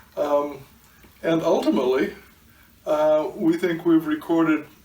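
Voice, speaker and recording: The man's pitch moves in an ordinary way while background noise is clearly audible. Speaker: art collector. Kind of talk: interview. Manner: halting, many fillers.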